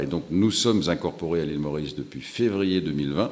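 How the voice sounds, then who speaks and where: With lively intonation, a man of very deep, low pitch speaks at a moderate pace. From Europe. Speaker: startup founder. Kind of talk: interview. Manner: hesitant, with filler sounds.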